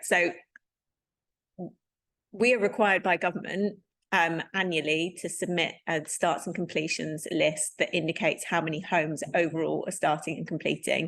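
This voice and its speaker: A woman puts on a character voice, hoarse and fairly low in pitch. She keeps a moderate pace. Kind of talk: professional, formal.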